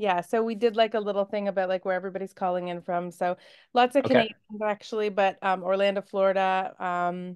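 Against a quiet background, a woman talks at a very fast pace with fairly even intonation. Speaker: book club host. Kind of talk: interview host chat. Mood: warm, cheerful, laughing. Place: home room. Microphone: video call.

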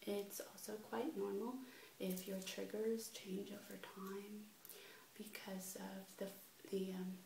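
A soft-spoken woman with a gentle tone, a fairly slow pace and monotone, flat intonation, with light background noise and audible room echo. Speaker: ASMR video creator. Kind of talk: casual vlog chat. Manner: soft-spoken gentle ASMR voice. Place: home room. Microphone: webcam.

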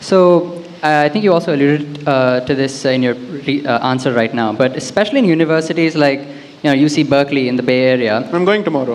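A man talks at a very fast pace in a fairly high voice. His loudness is very even and his pitch varies in an ordinary way. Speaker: audience member, recent graduate. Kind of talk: audience question at live event. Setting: event hall with audience. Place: hall. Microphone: handheld.

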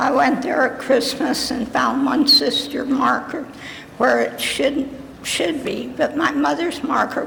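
A woman speaks at a fairly slow pace in a high pitch with monotone, flat intonation. Audible room echo and noticeable background noise fill the recording. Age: 80s+. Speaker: public commenter, relative of the buried. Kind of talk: public comment at council meeting. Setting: city council chambers.

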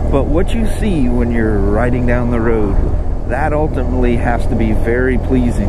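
The speech is fairly slow, with a dry sound and no echo. Loud background noise sits behind it. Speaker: motorcycle dealer vlogger. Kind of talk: casual vlog chat. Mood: relaxed, self-deprecating. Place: motorbike.

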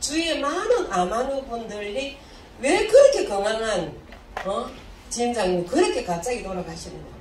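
Over light background noise and audible room echo, a woman talks at a moderate pace with very wide swings in pitch. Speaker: health supplement distributor. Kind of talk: seminar talk. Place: hall.

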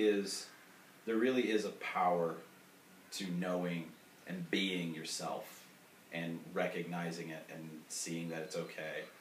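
Speaking at a fairly slow pace with long, frequent pauses, a man with a very deep, low voice is heard amid light background noise and audible room echo. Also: ordinary pitch variation. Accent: American. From US South. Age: 40s. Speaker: sex coach. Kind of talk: casual chat. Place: home room. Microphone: camera far.

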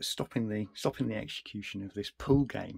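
A man with a fairly low pitch talks over a quiet background. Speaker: retro computer collector and repairer. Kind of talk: casual talk to camera. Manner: hesitant, many fillers. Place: home room.

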